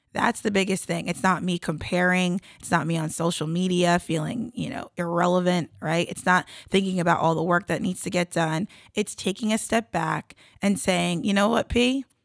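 In an American accent, a woman speaks at a moderate pace with ordinary pitch variation and an unremarkable speaking voice, the sound dry and close with no echo. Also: fairly low pitch for a woman. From South Jersey, US. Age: 30s. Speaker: Olympic athlete and entrepreneur. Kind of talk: interview.

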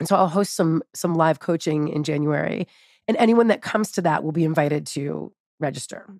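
This is a plain, everyday voice moving at a fairly quick pace with ordinary pitch variation. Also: woman, fairly low pitch for a woman, dry, close sound with no echo. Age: 40s. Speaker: health coach. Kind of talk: interview.

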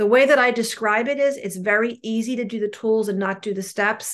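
Ordinary pitch variation and a fairly quick pace mark this speaker with a New Jersey accent against a quiet background. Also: woman. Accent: New Jersey American. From New Jersey, US. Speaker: recovering compulsive overeater sharing at a meeting. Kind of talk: testimony. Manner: fast talker.

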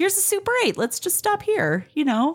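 A woman speaks at an extremely high pitch with big pitch swings and a moderate pace.

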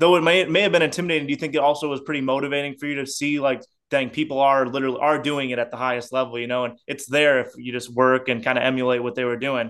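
Talking at a very fast pace with hardly any pauses, a man with an American accent keeps a fairly high pitch and fairly even intonation. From Indiana, South Bend. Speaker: podcast host. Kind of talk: casual interview chat.

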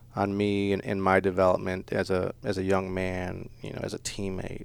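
A man is speaking here. His pitch is fairly low and his pace moderate. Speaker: youth football coach and teacher. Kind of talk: radio interview. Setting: radio studio.

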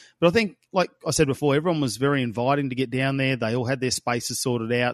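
A man with an Australian accent talks at a very fast pace, with medium pitch and ordinary pitch variation. The sound is dry and close with no echo, over a quiet background. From Australia, Darwin. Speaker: motorsport commentator. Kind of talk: casual review chat.

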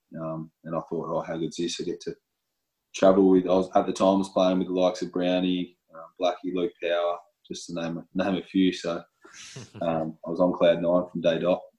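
A man's very deep, low voice in an Australian accent, flat and monotone, with big swings in loudness. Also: fairly quick pace. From Western Australia. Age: 30s. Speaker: professional footballer. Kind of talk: interview. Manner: halting.

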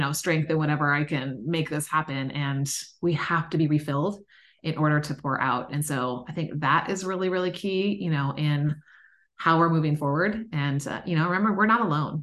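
A woman speaks at a moderate pace in a very deep, low voice with ordinary pitch variation against a quiet background. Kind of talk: casual chat.

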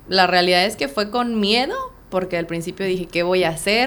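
A woman's medium-pitched voice with ordinary pitch variation over noticeable background noise. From Mexico City. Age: 30s. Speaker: real estate agent. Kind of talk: interview.

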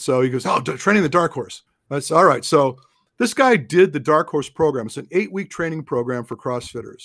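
In a very clean recording with a silent background, a man with a normal speaking voice, fairly high in pitch, talks at a fairly quick pace with lively intonation. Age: 60s. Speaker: running form analyst and endurance training advisor. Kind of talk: casual interview.

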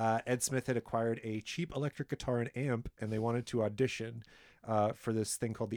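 This man has a plain, everyday voice with a Canadian accent, speaking at a fairly quick pace in a medium pitch with fairly even intonation on a very clean, silent recording that sounds dry and close with no echo. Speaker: podcast guest host, history presenter. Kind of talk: casual chat with long researched storytelling.

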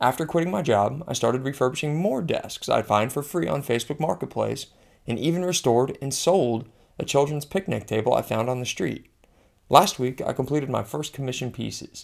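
This man's medium-pitched voice has vocal fry and lively intonation at a fairly quick pace. The recording is very clean, with a silent background. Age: 30s. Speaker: former physician. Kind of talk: personal essay narration.

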